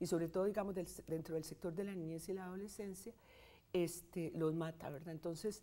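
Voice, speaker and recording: A woman at a moderate pace, dark and mellow in tone with a medium pitch. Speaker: statistics professor. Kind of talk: interview.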